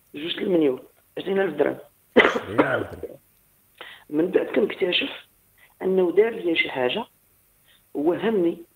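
Against a quiet background, a man with a high pitch speaks very slowly with long, frequent pauses and ordinary pitch variation. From Morocco, Agadir; Morocco. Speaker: caller. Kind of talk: phone-in story. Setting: phone call. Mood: calm, reflective. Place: home room.

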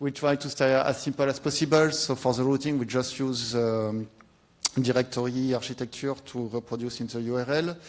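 Speaking with a French accent, a man keeps a medium pitch, a moderate pace and fairly even intonation. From France. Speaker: software developer. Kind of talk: conference talk. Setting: stage with audience. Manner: halting. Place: hall.

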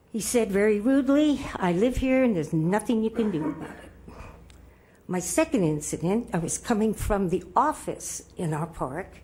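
Set against noticeable background noise, the speech moves at a moderate pace with very wide pitch swings. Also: woman, medium pitch for a woman. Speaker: public commenter at city council. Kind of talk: public comment speech. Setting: city council meeting.

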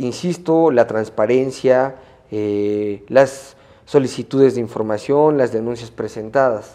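A man's dark, mellow voice moves through ordinary pitch variation. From Mexico, Puebla. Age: young. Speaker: media entrepreneur and lawyer; lawyer. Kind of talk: interview. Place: studio. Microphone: lapel.

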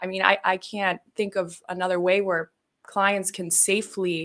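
Against a quiet background, a woman with a bright, sharp tone speaks at a fairly slow pace. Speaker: ketamine clinic consultant. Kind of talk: casual interview. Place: studio. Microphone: studio mic.

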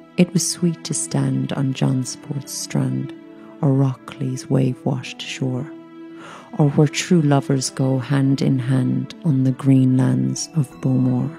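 A woman talks very slowly. Background music accompanies her. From Ireland. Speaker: actress. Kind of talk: poetry reading.

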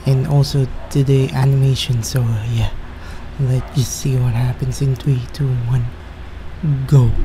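Over noticeable background noise, a man talks at a fairly slow pace with monotone, flat intonation. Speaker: video reactor. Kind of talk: casual vlog chat. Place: home room. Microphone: studio mic.

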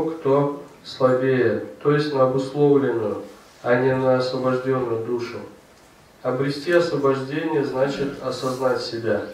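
In a room with audible echo, a man talks in a monotone, flat intonation. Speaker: reader of a scripture commentary. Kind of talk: reading of scripture commentary. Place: church.

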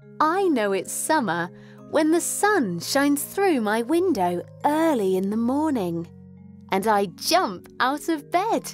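Very slowly, a woman speaks at a fairly high pitch with very wide pitch swings. The sound is dry with no echo, and faint music plays in the background. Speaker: voice-over artist. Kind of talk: children's storybook read aloud.

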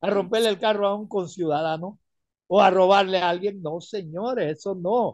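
Against a quiet background, a man with a high pitch speaks in an animated tone, the sound dry and echo-free. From Panama. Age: 70s. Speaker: retired caller; caller. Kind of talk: radio call-in opinion. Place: home room. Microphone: phone near.

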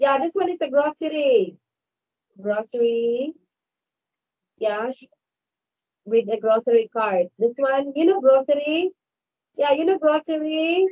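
Her pitch high and her intonation lively, a woman speaks at a fairly slow pace with long, frequent pauses against a quiet background. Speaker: online English tutor. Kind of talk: online English lesson with a child. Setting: video call. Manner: slow, repetitive. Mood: patient, encouraging. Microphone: headset.

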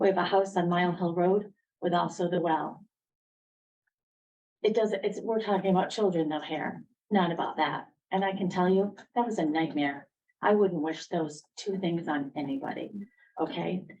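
Long pauses occur frequently. Between them, the pace is moderate and the pitch varies in an ordinary way. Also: woman, fairly low pitch for a woman. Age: 60s. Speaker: resident speaking at public hearing. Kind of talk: public comment at town hearing. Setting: town council meeting with microphone. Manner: halting.

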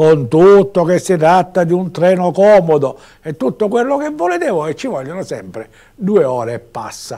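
A man's high, dark, mellow voice swings very widely in pitch against a quiet background. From Sicily. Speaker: local TV news commentator; local TV commentator. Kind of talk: TV news commentary; news commentary. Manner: conversational, hesitant with fillers. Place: studio. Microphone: lapel.

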